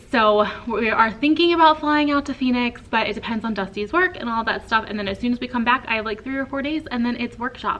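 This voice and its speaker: Amid noticeable background noise, a woman with an American accent speaks at a moderate pace and high pitch, her tone animated and her intonation lively. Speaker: teacher and vlogger. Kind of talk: casual vlog talk. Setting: classroom. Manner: animated, chatty.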